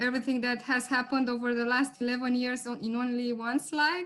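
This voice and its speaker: Speaking with a Romanian accent, a woman uses a high pitch. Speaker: lawyer. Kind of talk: webinar presentation.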